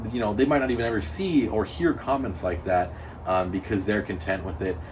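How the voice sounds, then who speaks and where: Lively intonation and a very fast pace mark this man's speech, heard with audible room echo. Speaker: amateur drift car driver. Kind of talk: casual chat. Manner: loud.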